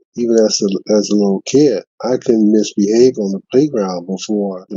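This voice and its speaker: The man's voice is fairly low in pitch, with a dark, mellow tone. His pitch varies in an ordinary way, and the sound is dry and close with no echo. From Louisiana, New Orleans. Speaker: retired art teacher. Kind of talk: interview. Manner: halting, repeats words.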